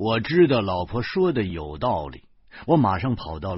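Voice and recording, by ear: Someone is reading text aloud. They use a natural voice to do it.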